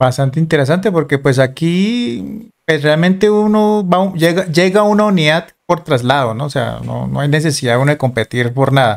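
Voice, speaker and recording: Barely pausing, a man with an unremarkable speaking voice and fairly high pitch talks at a moderate pace with lively intonation. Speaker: video host and former soldier. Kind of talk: casual interview.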